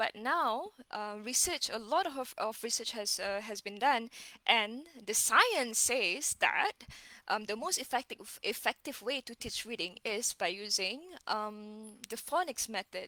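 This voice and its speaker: A woman's fairly high, bright, sharp voice with a Malaysian accent, lively intonation and a fairly slow pace, in a dry, close sound with no echo. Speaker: reading educator. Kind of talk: casual live-stream lecture. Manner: code-switching with Malay fillers, halting.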